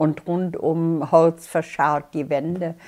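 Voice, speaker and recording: With a quiet background behind her, a woman speaks at a very slow pace in a fairly low, monotone, flat voice. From Bonn, Germany. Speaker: war eyewitness. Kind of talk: interview answer. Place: home room. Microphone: lapel.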